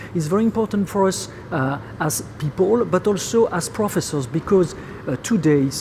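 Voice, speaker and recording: Someone speaks with a French accent over noticeable background noise. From France. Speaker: professor. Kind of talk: interview. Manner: halting, many fillers.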